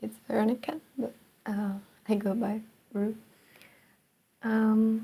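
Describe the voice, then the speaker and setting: A woman with a non-native accent speaks at a very slow pace, with long, frequent pauses and a monotone, flat intonation. Her fairly high voice has a dark, mellow tone and is somewhat breathy. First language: not English. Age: 20s. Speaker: vlogger. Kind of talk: personal monologue. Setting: alone in her room. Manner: halting.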